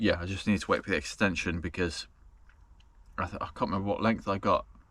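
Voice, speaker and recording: A man talks very fast on a very clean recording with a silent background. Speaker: travel vlogger. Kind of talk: casual vlog talk to camera. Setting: in a camper van at night. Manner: slurring.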